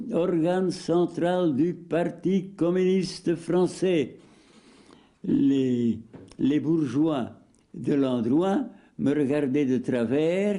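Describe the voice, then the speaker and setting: A man's high-pitched voice with a dark, mellow tone, lively intonation and very even loudness, very slow and marked by long, frequent pauses. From Limburg, Belgium. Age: 80s+. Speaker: retired journalist and political candidate. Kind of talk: interview answer. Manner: hesitant.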